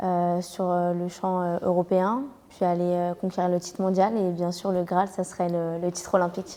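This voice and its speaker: Her pitch fairly low and her tone dark and mellow, a woman speaks at a moderate pace in a monotone, flat intonation. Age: 20s. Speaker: karate athlete. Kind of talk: interview. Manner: hesitant, many fillers.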